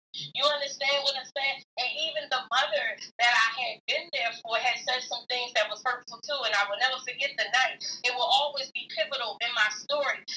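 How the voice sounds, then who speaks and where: A woman with a high pitch uses a raised, projected voice, speaking at a fairly quick pace with ordinary pitch variation. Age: 40s. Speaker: salon owner and minister. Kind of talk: testimony.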